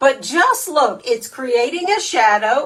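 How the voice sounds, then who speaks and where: The speaker uses an animated tone at a fairly slow pace against noticeable background noise. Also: woman. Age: 60s. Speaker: makeup artist. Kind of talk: tutorial.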